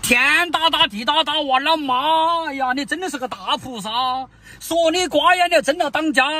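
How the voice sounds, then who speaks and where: In a Sichuan accent, a man with an extremely high pitch projects his raised voice at a moderate pace, the sound dry with no echo. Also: ordinary pitch variation. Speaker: comic husband scolding wife. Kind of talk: comedy sketch dialogue. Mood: exasperated, mock-scolding. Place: car.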